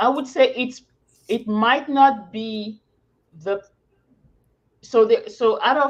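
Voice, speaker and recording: A woman's very slow speech in a French accent, high in pitch with ordinary pitch variation and long, frequent pauses. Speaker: academic with a PhD. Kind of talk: casual chat.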